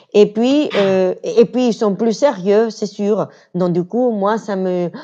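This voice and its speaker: Very slow speech from a woman, medium in pitch, with a dark, mellow tone and ordinary pitch variation. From Venezuela. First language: Spanish (speaking French). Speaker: interview guest, communications worker. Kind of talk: casual interview chat. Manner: halting.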